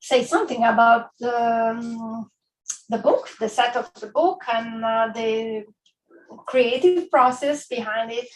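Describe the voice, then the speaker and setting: A woman with an Italian accent, at a very slow pace. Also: fairly high pitch for a woman, ordinary pitch variation. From Italy, island of Giglio, Tuscany. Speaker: author. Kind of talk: book talk. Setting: bookstore event with live audience.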